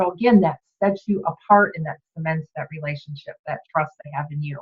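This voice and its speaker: A woman speaks at a moderate pace with lively intonation. Her voice is somewhat breathy. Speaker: direct sales team leader. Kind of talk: training talk. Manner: casual, chatty.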